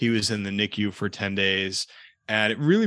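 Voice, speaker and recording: Against a quiet background, a man talks in a fairly low pitch with a bright, sharp tone and ordinary pitch variation. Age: 30s. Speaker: personal injury lawyer. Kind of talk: casual interview chat.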